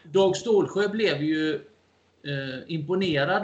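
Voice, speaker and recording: A man speaks with lively intonation. Noticeable background noise sits behind him. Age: 50s. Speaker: amateur historian and lecturer. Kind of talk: interview.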